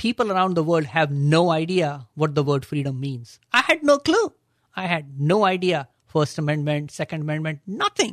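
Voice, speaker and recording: A man with an Indian accent, fairly high in pitch with ordinary pitch variation and a moderate pace, on a very clean recording with a silent background and a dry, close sound with no echo. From Agra, India. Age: 60s.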